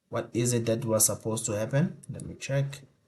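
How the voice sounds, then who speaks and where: A somewhat breathy male voice with ordinary pitch variation. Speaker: tech YouTuber. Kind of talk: tutorial. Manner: mumbling; halting, thinking aloud.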